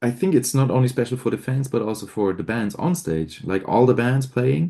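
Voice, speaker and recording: In a German accent, a man speaks at a fairly quick pace with a medium pitch. His tone is dark and mellow, and his intonation lively. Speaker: metal band frontman. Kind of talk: interview.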